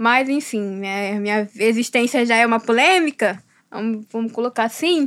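Her plain, everyday voice has a fairly high pitch and ordinary pitch variation, as this woman speaks at a moderate pace. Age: 20s. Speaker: philosophy student, visual artist and writer. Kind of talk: interview.

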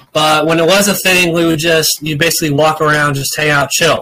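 A man talks at a fairly quick pace with a fairly high pitch. His tone is bright and sharp. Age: 20s. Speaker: podcast co-host. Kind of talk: casual chat.

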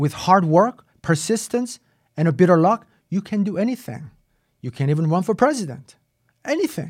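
Very wide pitch swings, long and frequent pauses, a moderate pace, and a very clean recording with a silent background. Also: man, high pitch for a man. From South Korea. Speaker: podcast host and obstetrician. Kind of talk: monologue, casual talk.

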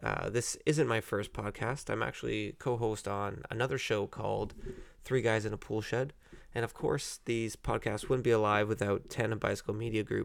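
A man with an Ontario accent talks at a moderate pace and medium pitch, with vocal fry. The recording is very clean, with a silent background. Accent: Canadian (Ontario). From Canada, Ontario (Burlington). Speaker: podcast host. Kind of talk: casual solo podcast monologue with beer tasting.

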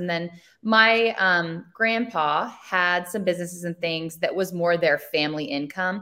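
A woman speaks in an ordinary speaking voice at a fairly slow pace. Her pitch is fairly low, with ordinary variation. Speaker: brand owner and social media marketer. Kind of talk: casual interview chat.

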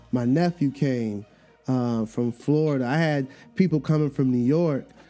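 Music plays in the background while the speaker holds a moderate pace with ordinary pitch variation. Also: man. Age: 40s. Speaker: podcast host and educator. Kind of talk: casual solo monologue. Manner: animated.

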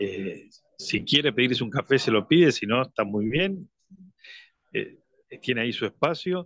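A man's medium-pitched voice at a fairly slow pace, with very wide pitch swings and long, frequent pauses. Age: 60s. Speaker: business owner. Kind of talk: radio interview. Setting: phone line. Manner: halting.

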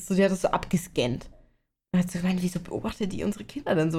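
A woman's medium-pitched voice, dark and mellow in tone, at a very fast pace with fairly even intonation. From Bavaria. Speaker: podcast co-host. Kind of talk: casual chat.

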